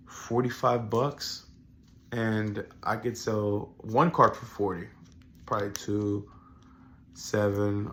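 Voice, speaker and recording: Speaking at a very slow pace, a man has a bright, sharp tone at a medium pitch. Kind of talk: casual talk to camera.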